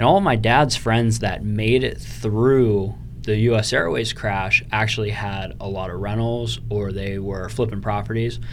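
A man with a fairly low voice talks with fairly even intonation and hardly any pauses. Noticeable background noise runs behind him. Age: 20s. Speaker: real estate investor. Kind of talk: interview. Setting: studio.

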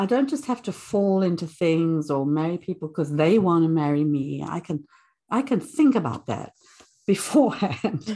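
Speaking at a moderate pace, a woman with a fairly low pitch and a dark, mellow tone swings her pitch very widely. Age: 70s. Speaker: retired early childhood professor. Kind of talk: life-story interview. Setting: studio.

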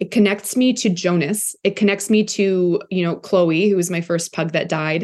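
A woman's plain, everyday voice at a medium pitch, with fairly even intonation, a moderate pace and hardly any pauses. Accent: Canadian. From Canada, Toronto. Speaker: content creator. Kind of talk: casual chat.

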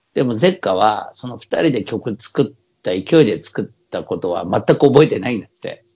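Here a man with a normal speaking voice and a medium pitch talks at a moderate pace. His intonation is lively, and his loudness swings widely. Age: 50s. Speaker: podcast co-host, samba musician. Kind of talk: casual chat. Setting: remote recording.

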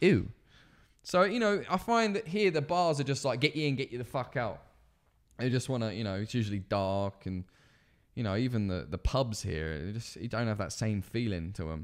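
An animated man with an English accent, medium in pitch with very wide pitch swings, at a moderate pace on a very clean recording with a silent background. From England. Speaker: podcast co-host. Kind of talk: casual chat. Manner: profane and animated.

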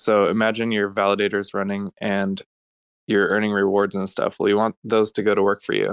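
A fairly quick, flat, monotone delivery over a quiet background. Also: man, fairly low pitch for a man, dry, close sound with no echo. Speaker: blockchain automation developer. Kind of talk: casual panel discussion.

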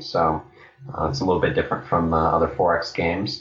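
A man speaks at a fairly quick pace. Noticeable background noise sits behind him. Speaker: game designer. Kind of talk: casual interview.

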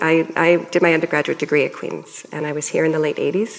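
A woman with a Canadian accent, noticeable background noise behind her. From Canada. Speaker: professor. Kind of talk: public panel conversation. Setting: stage with audience.

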